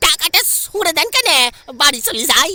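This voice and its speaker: An extremely high-pitched, put-on character voice. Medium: audio drama.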